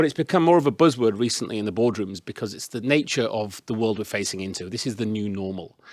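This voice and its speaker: A man at medium pitch with a Yorkshire accent, very fast pace, and dry, close sound with no echo. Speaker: business consultant, panelist. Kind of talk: presentation with slides. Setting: in-person event with audience, microphone.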